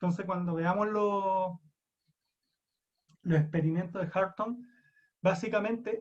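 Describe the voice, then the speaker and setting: Speaking at a fairly slow pace, a man with a high voice and a Chilean accent keeps a fairly even intonation and takes long, frequent pauses. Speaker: psychology lecturer. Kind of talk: lecture.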